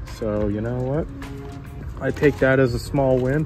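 With clear music in the background, a man speaks at a moderate pace in a dry recording with no echo. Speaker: diecast collector vlogger. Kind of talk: casual vlog chat. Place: shop. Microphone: phone near.

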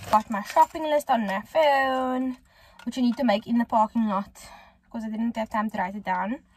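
Speaking with a South African accent, a woman keeps a moderate pace and ordinary pitch variation in a dry recording with no echo. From Cape Town, South Africa. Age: 20s. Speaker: lifestyle vlogger. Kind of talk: casual talk to camera. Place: car. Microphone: phone near.

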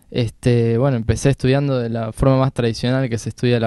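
Here a man speaks in a monotone, flat way at medium pitch and a moderate pace. His tone is dark and mellow, over a quiet background. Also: dry sound with no echo. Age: 20s. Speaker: jazz harmonica player. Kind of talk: casual interview. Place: studio. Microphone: handheld.

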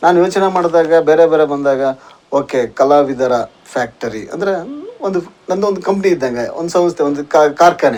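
A man speaks in a fairly high pitch. Noticeable background noise runs under his voice. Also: ordinary pitch variation. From North Karnataka. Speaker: YouTube channel host, interviewer. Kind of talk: interview.

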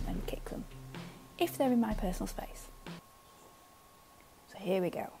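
Noticeable noise sits behind the woman's voice. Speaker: gamer. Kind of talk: casual gameplay commentary. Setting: voice recorded separately, a bit quieter than normal.

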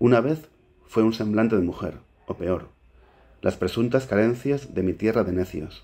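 A man with a medium-pitched voice and a dark, mellow tone speaks fairly slowly, using ordinary pitch variation and long, frequent pauses. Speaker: poet. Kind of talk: poetry reading. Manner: hesitant, stumbling intro. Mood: calm, measured. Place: home room. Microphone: webcam.

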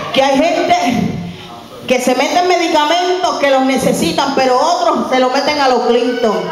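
A woman's high voice, with ordinary pitch variation at a moderate pace, comes through audible room echo and light background noise. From Puerto Rico, Carolina. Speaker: preacher. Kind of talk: sermon. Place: church.

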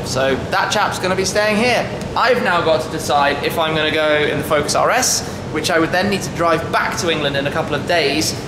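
Noticeable background noise is present throughout. Against it, a man's speech moves fairly quickly, its pitch varying in an ordinary way. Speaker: car vlogger. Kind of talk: casual vlog chat. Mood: wry, resigned amusement. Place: garage. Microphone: phone near.

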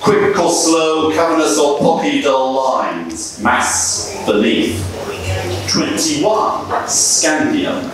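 The speech moves at a very slow pace with very even loudness, strong room echo and noticeable background noise. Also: man. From England. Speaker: poet. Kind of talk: talk; poetry reading. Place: bar.

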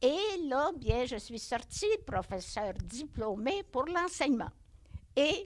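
Very wide pitch swings mark a woman's speech, delivered at a very slow pace. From Quebec, Centre-du-Québec (Bécancour); Quebec. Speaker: nun, retired teacher. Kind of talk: life story interview. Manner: halting. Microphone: handheld.

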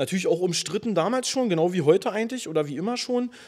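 A man at a very fast pace, his intonation lively. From Brandenburg, Germany. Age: 30s. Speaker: rapper and nurse. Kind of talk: casual interview.

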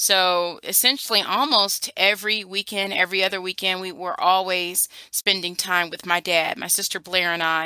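A woman with an American accent speaks at a moderate pace in a medium pitch with a bright, sharp tone and ordinary pitch variation. The sound is dry and close with no echo, in a very clean recording with a silent background. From US Midwest, Cleveland area, Ohio. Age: 40s. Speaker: educator. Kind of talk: oral history interview.

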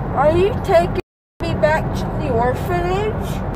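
Loud background noise nearly competes with a woman's speech. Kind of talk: casual groggy chat. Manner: groggy, slurred post-anesthesia speech. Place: car.

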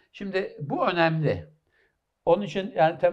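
Against a quiet background, a man with a fairly high pitch speaks with vocal fry. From Istanbul, Turkey (Kadıköy); Turkey. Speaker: professor of medicine; interview guest, professor. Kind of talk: interview. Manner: halting, many fillers. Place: studio. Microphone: headset.

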